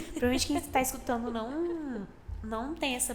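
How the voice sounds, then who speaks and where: Soft-spoken and high-pitched, a woman talks with ordinary pitch variation amid audible room echo. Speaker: podcast co-host. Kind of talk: casual chat.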